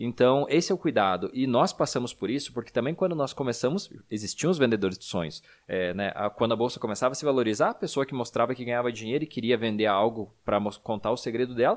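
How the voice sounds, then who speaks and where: At a very fast pace with hardly any pauses, a man talks at a medium pitch and ordinary pitch variation on a very clean recording with a silent background. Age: 30s. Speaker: podcast host, financial educator. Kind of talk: casual chat.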